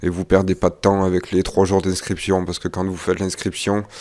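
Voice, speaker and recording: A soft-spoken man with a very deep, low voice talks at a fairly quick pace in a monotone, flat intonation. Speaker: investing youtuber. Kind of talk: vlog update. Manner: hesitant, many fillers.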